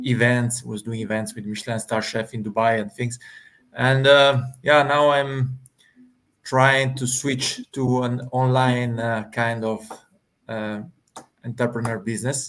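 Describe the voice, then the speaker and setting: A man with an Italian accent speaks at a medium pitch in a monotone, flat intonation, leaving long, frequent pauses. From Italy. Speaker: hospitality manager and aspiring online entrepreneur. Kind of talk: casual panel discussion.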